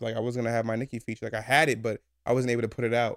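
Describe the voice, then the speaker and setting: Recorded very cleanly with a silent background and a dry, close sound with no echo, a man at a medium pitch speaks at a very fast pace. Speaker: podcast co-host. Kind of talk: casual chat.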